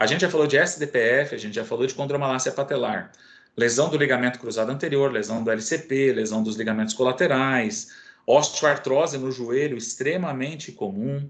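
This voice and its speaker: Speaking at a fairly quick pace, a man has an ordinary speaking voice with a medium pitch and ordinary pitch variation. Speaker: physiotherapy lecturer. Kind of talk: online lecture.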